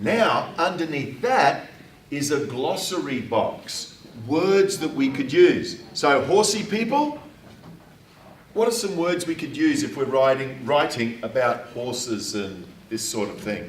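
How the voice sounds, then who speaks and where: A man speaks loudly at a very slow pace, his pitch swinging very widely. Audible room echo and noticeable background noise fill the recording. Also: fairly high pitch for a man. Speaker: writing teacher. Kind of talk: classroom lesson.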